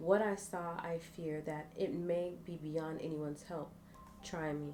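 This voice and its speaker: Music plays behind a soft-spoken woman whose fairly low voice moves at a fairly slow pace in a calm tone. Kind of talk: reading a fantasy story aloud with different character voices. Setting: live stream with ASMR microphone. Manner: calm, soft-spoken.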